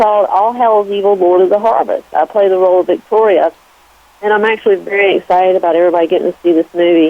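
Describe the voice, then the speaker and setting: A woman speaks at a fairly quick pace with a Southern US accent. Her pitch sits in the medium range. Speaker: actress. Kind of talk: radio interview. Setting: phone call.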